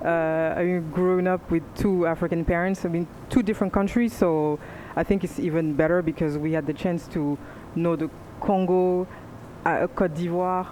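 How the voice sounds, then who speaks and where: Over noticeable background noise, a woman with a fairly low pitch speaks with long, frequent pauses. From France. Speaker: panelist. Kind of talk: panel discussion.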